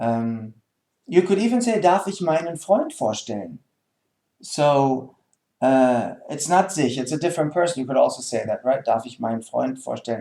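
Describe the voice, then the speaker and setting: With a German accent, a man speaks at a moderate pace in a dark, mellow tone, his fairly high pitch making very wide swings. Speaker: German language teacher. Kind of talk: tutorial. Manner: hesitant, many fillers.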